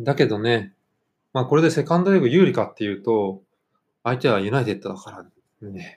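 A man's voice with very wide pitch swings, big swings in loudness and long, frequent pauses, against a quiet background. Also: medium pitch for a man, fairly quick pace. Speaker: football podcast host. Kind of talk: casual chat.

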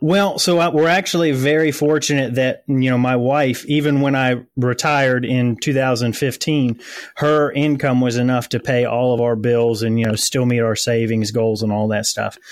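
In a plain, everyday voice, a man with an American accent holds very even loudness and ordinary pitch variation. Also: medium pitch for a man, moderate pace. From US South. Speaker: lawn care business owner. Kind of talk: interview. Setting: remote call.

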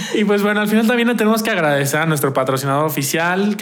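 Amid noticeable background noise and audible room echo, a man talks at a very fast pace with lively intonation. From Mexico. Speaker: podcast co-host. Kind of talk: casual chat.

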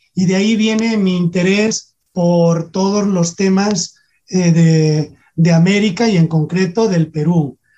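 Speaking at a very slow pace, a man uses a high-pitched yet dark, mellow tone, with fairly even intonation and very even loudness. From Spain, Salamanca. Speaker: history professor. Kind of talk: radio interview. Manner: halting.

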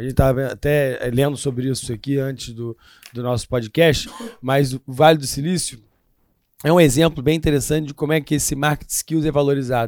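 In a normal speaking voice, a man talks at a fairly quick pace. His pitch is fairly high and his intonation fairly even. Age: 40s. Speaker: history and current affairs teacher. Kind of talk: casual chat.

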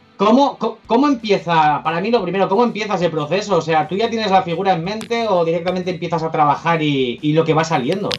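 Talking at a very fast pace with hardly any pauses, a man with a high-pitched voice comes through over noticeable background noise. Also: ordinary pitch variation. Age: 30s. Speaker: collector. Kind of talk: casual chat.

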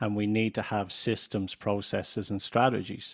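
A man speaks in a Dublin accent with a fairly low pitch. The recording is very clean, with a silent background. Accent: Irish, Dublin. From Ireland. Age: 50s. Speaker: business consultant and coach. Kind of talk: interview conversation.

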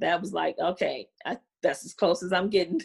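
A woman with an American accent, an ordinary speaking voice and ordinary pitch variation. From Chicago. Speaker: comedian's daughter. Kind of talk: interview. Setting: studio.

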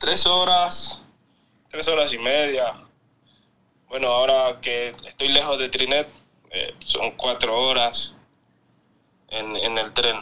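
Bright and sharp in tone, the voice moves at a very slow pace with ordinary pitch variation and long, frequent pauses. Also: man, medium pitch for a man. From Ecuador, Quinindé. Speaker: professional footballer. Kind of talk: interview. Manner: halting, repeats words.

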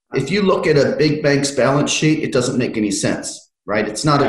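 A somewhat breathy man with an American accent, lively intonation and a fairly quick pace. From United States. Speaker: fintech consultant. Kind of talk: interview.

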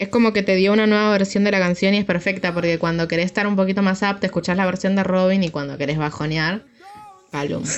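Over noticeable background noise, a woman talks at a very fast pace with fairly even intonation and a medium pitch. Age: 20s. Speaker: podcast co-host. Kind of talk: casual chat.

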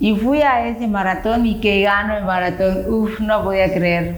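Speaking at a moderate pace, a woman uses a medium pitch with ordinary pitch variation. Noticeable background noise and audible room echo fill the recording. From Yucatán, Mexico (Chicxulub). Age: 50s. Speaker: runner. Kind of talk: interview.

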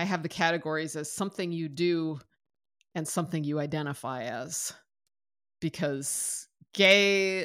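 The recording is very clean, with a silent background, and a woman speaks at a moderate pace in a plain, everyday voice. Her pitch is fairly low, with ordinary pitch variation. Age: 50s. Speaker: podcast co-host. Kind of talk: casual chat.

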